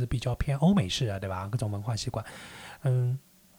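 His pace is very fast. The man's pitch is medium. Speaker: podcast host. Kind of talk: casual chat.

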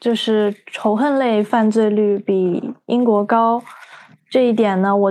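A woman with an ordinary speaking voice, fairly high in pitch with ordinary pitch variation, against a quiet background. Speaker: podcast co-host, psychology student. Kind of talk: casual chat.

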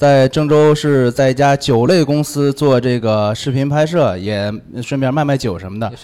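At a moderate pace, a man speaks in a medium pitch with ordinary pitch variation. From Anyang, Henan. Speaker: video shooter and liquor salesman, ex wedding host, comedian. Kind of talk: casual chat.

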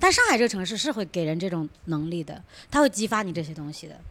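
Against noticeable background noise, a woman with a fairly low pitch talks at a very fast pace. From Shijiazhuang, Hebei. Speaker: musical theatre actor. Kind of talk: casual group chat.

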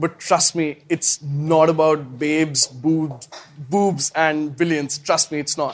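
A man talks at a very slow pace with a fairly high pitch and fairly even intonation. The sound is dry and close, with no echo. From India, small town. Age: 20s. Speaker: startup founder. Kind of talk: talk at speaker event.

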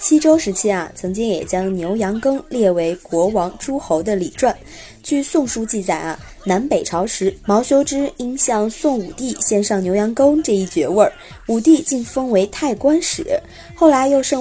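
Her pitch swings very widely as she talks at a fairly slow pace. Noticeable background noise runs under the woman's voice. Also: fairly high pitch for a woman. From Xi'an, Shaanxi. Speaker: podcast host. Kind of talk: scripted narration. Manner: relaxed storytelling with filler particles.

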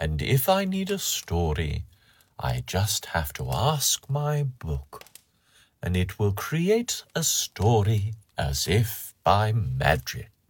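Very clean and set against a silent background, this recording has a man with a fairly low, somewhat breathy voice. He speaks very slowly, with very wide pitch swings. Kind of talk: bedtime story reading aloud. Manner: slow, gentle, soothing.

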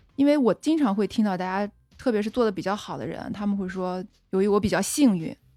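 In a Qingdao accent, a woman talks at a fairly quick pace with big swings in loudness. The recording is very clean, with a silent background. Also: medium pitch for a woman, ordinary pitch variation. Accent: Qingdao accent, noticeable. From Shandong, Qingdao. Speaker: founder of a women's growth platform. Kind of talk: casual chat.

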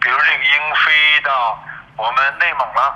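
A man speaking at a very slow pace. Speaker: conservation organization secretary-general. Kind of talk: interview. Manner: halting, many filler sounds.

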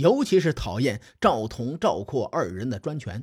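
A man at a medium pitch speaks at a fairly slow pace with very wide pitch swings, on a very clean recording with a silent background. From Western China. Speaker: storyteller podcaster. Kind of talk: storytelling narration. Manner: animated, voices characters.

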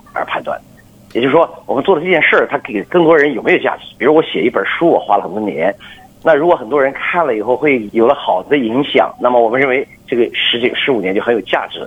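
A man speaks at a medium pitch and a fairly quick pace. His intonation is lively, and there is noticeable background noise. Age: 50s. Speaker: business executive. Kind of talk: radio interview. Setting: phone call.

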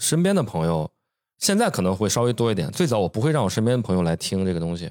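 Recorded with a dry, close sound and no echo, a man with a fairly low pitch swings his pitch very widely. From Shandong, China. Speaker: podcast co-host, designer. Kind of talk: casual chat. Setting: home studio.

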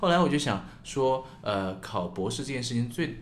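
A man talks at a moderate pace with very wide pitch swings. Audible room echo surrounds his voice. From China, small city. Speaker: podcast co-host. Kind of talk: casual chat.

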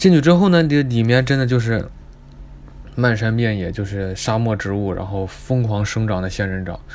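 Lively intonation marks a man's speech. He talks at a fairly quick pace. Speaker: student podcaster. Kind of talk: casual travel storytelling monologue. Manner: animated, exclamatory.

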